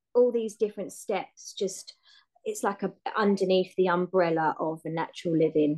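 Speaking at a moderate pace in a southern English accent, a woman uses a medium pitch and a dark, mellow tone. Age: 30s. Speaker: home-educating mother and hairdresser. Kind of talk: casual chat.

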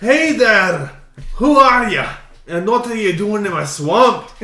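Loud and gruff, a man does a put-on character voice at a high pitch and fairly slow pace, with audible echo around him. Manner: gruff, challenging.

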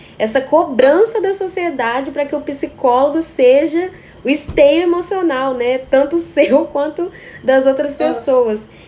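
Fairly slow speech amid noticeable background noise. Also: woman, high pitch for a woman, ordinary pitch variation. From Brazil, Espírito Santo. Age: 20s. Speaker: podcast host and psychology student. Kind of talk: casual interview chat.

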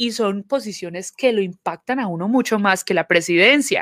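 Speaking with a Colombian accent, a woman of medium pitch uses lively intonation in a dry, close sound with no echo. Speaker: community organization manager, podcast co-host. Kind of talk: casual chat.

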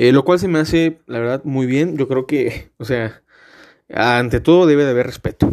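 A man speaks at a moderate pace in a medium pitch with ordinary pitch variation. The recording is very clean, with a silent background. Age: 20s. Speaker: podcast host, law student. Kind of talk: casual monologue. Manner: filler-heavy, hesitant.

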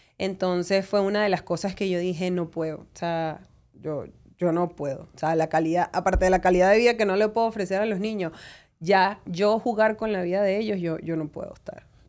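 Speaking at a fairly quick pace, a woman uses an unremarkable speaking voice at medium pitch with fairly even intonation. The recording is very clean, with a silent background. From Venezuela. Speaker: lawyer. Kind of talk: interview.

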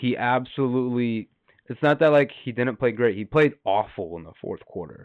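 With an unremarkable speaking voice, a man at medium pitch talks at a moderate pace, his pitch varying an ordinary amount while his loudness swings widely. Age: 20s. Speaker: podcast co-host. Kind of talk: casual chat.

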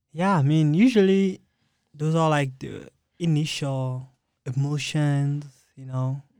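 A very slow, dark, mellow man's voice at a fairly high pitch, with ordinary pitch variation, long, frequent pauses and a very clean recording with a silent background. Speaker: college student. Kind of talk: casual interview. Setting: studio.

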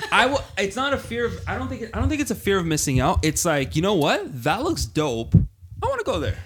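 A man at a fairly quick pace with hardly any pauses. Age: 20s. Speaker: panelist. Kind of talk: casual chat.

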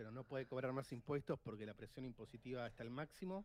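The speaker has an Argentine accent. Pitch variation is ordinary. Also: man. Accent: Rioplatense Argentine Spanish. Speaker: financial advisor. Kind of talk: casual chat.

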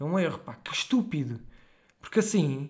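The man talks at a very fast pace. His pitch swings very widely. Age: 20s. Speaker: podcast guest. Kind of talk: casual chat.

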